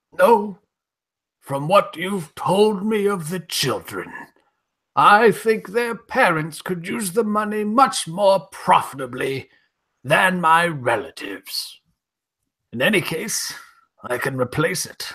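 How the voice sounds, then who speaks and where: Using a put-on character voice, a man speaks high with lively intonation. Long, frequent pauses break up his delivery. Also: fairly slow pace. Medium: stage play.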